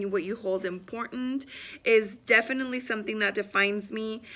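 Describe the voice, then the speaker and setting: Her voice is bright and sharp, a woman speaking at a fairly high pitch. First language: Spanish. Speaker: student and business owner. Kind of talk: self-introduction video. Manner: hesitant with many fillers.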